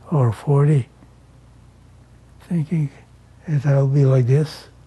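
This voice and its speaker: At a very slow pace, a man speaks with a fairly high pitch and fairly even intonation over noticeable background noise. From Canada, rural Manitoba, Ukrainian community. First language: Ukrainian. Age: 80s+. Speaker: elderly man recounting his life. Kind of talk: life story interview.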